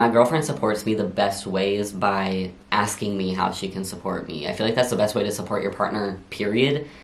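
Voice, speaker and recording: Fairly quick speech from a man with a fairly low pitch, amid noticeable background noise and audible room echo. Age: 20s. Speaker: vlogger. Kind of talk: casual Q&A vlog. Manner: casual, animated.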